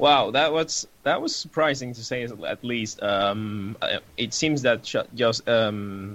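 A man speaks at a very slow pace, his voice at a medium pitch with ordinary pitch variation. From Argentina. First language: Spanish. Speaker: music blogger, interviewer. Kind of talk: interview. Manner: hesitant, many fillers.

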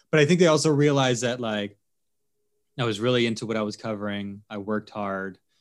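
A man with a medium pitch talks very fast, his pitch varying in an ordinary way. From Philadelphia, US Northeast. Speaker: TV sports anchor. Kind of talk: casual interview.

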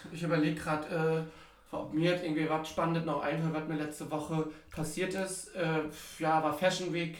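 The speech comes at a fairly quick pace in a monotone, flat way, with audible room echo and noticeable background noise. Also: man, fairly high pitch for a man. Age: 30s. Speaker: podcast co-host. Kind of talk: casual chat. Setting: sitting in a bathtub with microphone.

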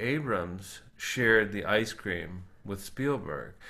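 A man's bright, sharp voice with an American accent, at a very slow pace, with audible room echo. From US South, South Florida (Boca Raton). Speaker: ice cream business founder and podcast co-host. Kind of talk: casual chat. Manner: halting, many fillers.

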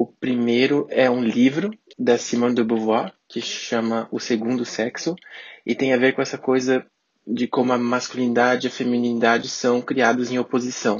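This man talks at a moderate pace with a medium pitch. His intonation is flat and monotone. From Brazil, Santa Catarina. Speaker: podcast guest. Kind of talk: interview.

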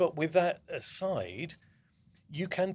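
A man speaks with a southern English accent. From southern England.

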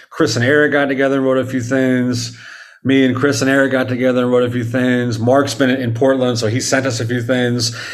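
Over audible room echo, a man with a medium-pitched voice talks at a fairly quick pace in a monotone, flat intonation, keeping his loudness very even. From Dallas, Texas. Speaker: rock drummer. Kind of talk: casual interview chat.

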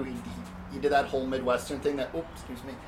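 A man with a fairly high pitch is heard amid audible room echo and noticeable background noise. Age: 30s. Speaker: dungeon master. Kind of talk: tabletop game narration. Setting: home garage. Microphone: echoey room.

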